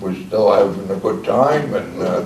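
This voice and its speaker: Audible room echo and noticeable background noise accompany a man with a Long Island accent and ordinary pitch variation. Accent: Long Island New York. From Long Island, New York. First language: Czech. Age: 80s+. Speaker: retired commercial fisherman. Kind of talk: oral history interview. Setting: library group session. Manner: halting.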